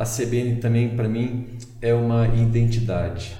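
A man is speaking. Audible room echo and noticeable background noise surround his voice. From southern Brazil, Porto Alegre. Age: 50s. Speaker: pastor and denomination president. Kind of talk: podcast interview. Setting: studio.

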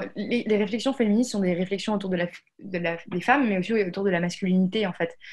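Very fast and somewhat breathy, a woman talks at medium pitch with fairly even intonation. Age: 20s. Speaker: founder of a coding school. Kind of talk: interview. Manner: hesitant, many fillers.

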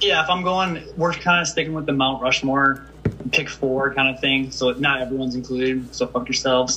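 Noticeable background noise sits behind a man with a medium pitch. He speaks at a moderate pace with fairly even intonation and hardly any pauses. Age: 30s. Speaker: fantasy football podcast co-host. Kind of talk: casual chat.

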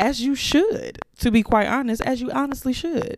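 A woman with an unremarkable speaking voice talks at a fairly slow pace, her pitch varying in an ordinary way. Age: young. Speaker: podcast host. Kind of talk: solo reflective monologue. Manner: casual, conversational with fillers and repetitions.

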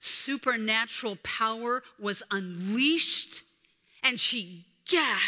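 Ordinary shifts in pitch within an unforced reading voice

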